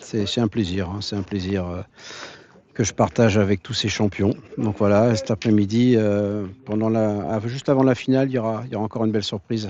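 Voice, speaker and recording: Speaking at a moderate pace, a man uses a fairly low pitch and fairly even intonation. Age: 60s. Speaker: pétanque club founder and event organiser. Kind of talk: interview testimony. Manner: talkative, hesitant with repetitions.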